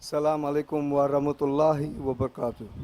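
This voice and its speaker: A man with an English accent speaks in a monotone, flat intonation. His fairly high pitch carries a dark, mellow tone. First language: English (speaking Indonesian). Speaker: international agency representative. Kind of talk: formal ceremonial speech. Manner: slow; halting.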